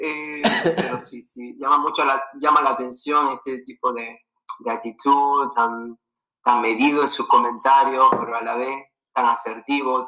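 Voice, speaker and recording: Speaking in a normal speaking voice, a man goes at a fairly slow pace with a medium pitch and fairly even intonation. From Venezuela. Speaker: former college distance runner. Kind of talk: casual interview.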